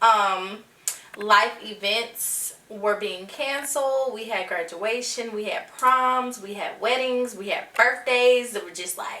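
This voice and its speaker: Noticeable background noise sits behind a woman's voice. She speaks at a very slow pace in a fairly high pitch. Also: ordinary pitch variation. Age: 20s. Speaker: podcast host. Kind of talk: casual podcast talk.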